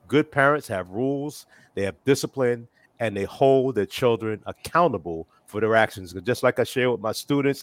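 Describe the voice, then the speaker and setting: Recorded dry and close with no echo against a silent background in a very clean recording, a man with an unremarkable speaking voice talks at a moderate pace, medium pitch and ordinary pitch variation. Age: 60s. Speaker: father of four discussing parenting. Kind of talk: casual chat.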